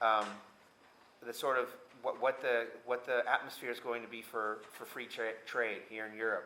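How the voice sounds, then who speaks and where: With an American accent, a man speaks at a moderate pace in a bright, sharp tone with monotone, flat intonation. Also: medium pitch for a man. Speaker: US diplomat. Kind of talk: panel talk. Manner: halting, many fillers.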